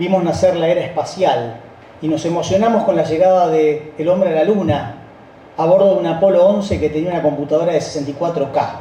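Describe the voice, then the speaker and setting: A man with a Rioplatense accent speaks at a fairly quick pace in a high voice with ordinary pitch variation, amid noticeable background noise and audible room echo. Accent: Argentine Rioplatense Spanish. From Argentina, Rosario. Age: 60s. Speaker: company founding partner. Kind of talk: speech.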